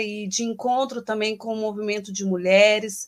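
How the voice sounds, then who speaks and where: A woman talks with a fairly high pitch. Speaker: guest activist. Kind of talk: panel discussion. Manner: hesitant, many fillers.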